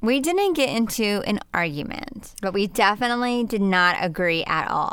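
A woman's normal speaking voice, fairly high in pitch, with lively intonation, very even loudness, a moderate pace and hardly any pauses. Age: 40s. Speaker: podcast co-host and parent. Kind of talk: casual chat.

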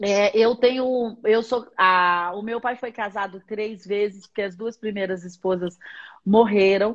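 In a quiet background, a woman with an ordinary speaking voice talks at a fairly slow pace, medium in pitch and fairly even in intonation. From Minas Gerais, Brazil (Patos de Minas). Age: 40s. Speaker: bishop and pastor. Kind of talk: religious teaching in a live-stream interview. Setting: live stream video call.

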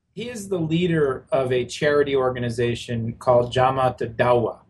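A man's somewhat breathy voice moves through ordinary pitch variation. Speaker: policy analyst. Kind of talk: news interview.

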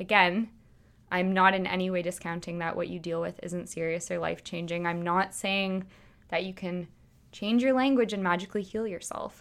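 Her intonation is fairly even, and her pitch sits in the medium range. The woman talks at a moderate pace. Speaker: podcast host. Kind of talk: solo monologue. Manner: casual rant.

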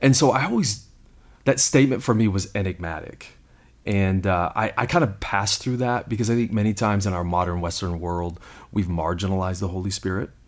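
Fairly quick and fairly low, a man's unremarkable speaking voice shows ordinary pitch variation. The recording is very clean, with a silent background. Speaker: lead pastor. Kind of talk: casual conversational podcast discussing the Bible.

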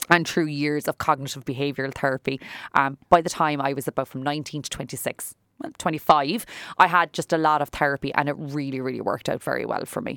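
A woman with a Cork accent talks at a very fast pace and a very deep, low pitch in a very clean recording, silent background, with a dry, close sound with no echo. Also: fairly even intonation. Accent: Irish (Cork). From Ireland. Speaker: salon owner and businesswoman. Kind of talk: interview. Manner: talkative.

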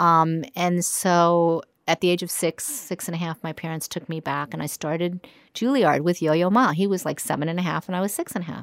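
On a very clean recording with a silent background and a dry, close sound free of echo, a woman with an American accent uses a normal speaking voice, fairly low in pitch, at a fairly quick pace with ordinary pitch variation. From New York. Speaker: concert pianist and music teacher. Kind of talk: interview conversation. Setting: music school studio.

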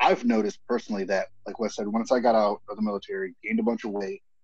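A man with an American accent speaks at a fairly quick pace in an ordinary speaking voice. His pitch sits at a medium level, and his intonation is lively. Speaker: military veteran and former bricklayer. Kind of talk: casual chat.

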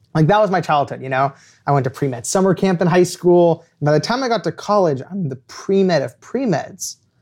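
A man's high-pitched voice with an American accent and lively intonation at a fairly quick pace, in a very clean recording with a silent background. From Los Angeles, US. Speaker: author. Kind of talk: storytelling interview. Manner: animated.

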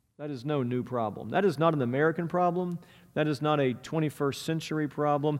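A man with an ordinary speaking voice talks at a fairly high pitch with ordinary pitch variation, set against a quiet background. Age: 40s. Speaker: pastor. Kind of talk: sermon.

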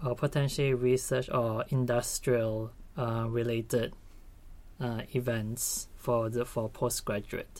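On a very clean recording with a silent background, a man speaks very slowly at a medium pitch with fairly even intonation. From Malaysia. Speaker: graduate student. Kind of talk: casual interview.

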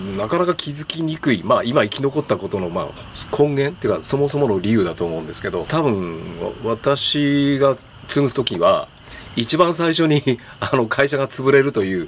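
A man talks at a moderate pace in a fairly high voice with very wide pitch swings. Noticeable background noise runs underneath. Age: 60s. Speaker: third-generation furniture store owner. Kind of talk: casual chat.

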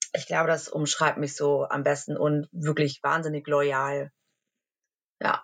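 A woman's very deep, low voice, monotone and flat, with very even loudness, a very slow pace and long, frequent pauses. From Germany, near Cologne. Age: 30s. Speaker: social media influencer. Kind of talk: interview.

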